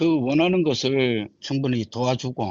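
With a medium pitch, a man talks using ordinary pitch variation. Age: 60s. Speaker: retired shipyard worker, taxi driver. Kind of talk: interview. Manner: halting.

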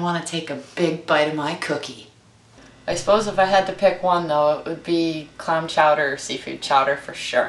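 A woman with a fairly low pitch speaks at a moderate pace in an upbeat, playful tone. Her pitch variation is ordinary, and audible room echo surrounds her. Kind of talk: cooking show audition, talk to camera. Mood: playful, flirty teasing. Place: kitchen.

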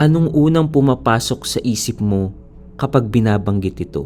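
Music plays in the background as a man talks at a fairly slow pace. His medium pitch shows ordinary variation. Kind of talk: horror story trailer narration.

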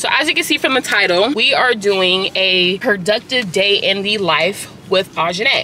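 Music plays in the background while a woman speaks in a dry sound with no echo. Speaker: lifestyle vlogger. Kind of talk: casual vlog chat. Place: car. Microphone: phone near.

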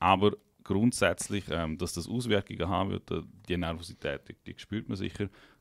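A man's very deep, low voice at a moderate pace, with ordinary pitch variation, a dry sound with no echo and a quiet background. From Liechtenstein. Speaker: podcast host. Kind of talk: casual chat. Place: studio. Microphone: studio mic.

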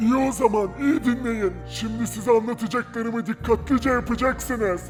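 A put-on character voice with fairly high pitch moves at a moderate pace. Clear music plays in the background. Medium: machinima. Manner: gruff, rustic.

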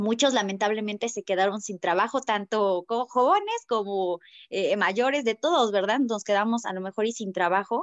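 With a Mexican accent, the speaker goes at a moderate pace with ordinary pitch variation, in a dry sound with no echo against a quiet background. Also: woman. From Mexico. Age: 20s. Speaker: network marketing distributor; presenter. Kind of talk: sales presentation. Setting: video call. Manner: hesitant, many fillers. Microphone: video call.

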